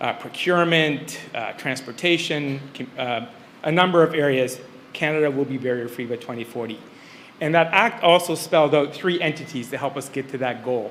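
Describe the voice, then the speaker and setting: A man speaks at a fairly high pitch with ordinary pitch variation. Audible room echo and noticeable background noise fill the recording. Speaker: senior civil servant. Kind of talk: conference speech. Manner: fast.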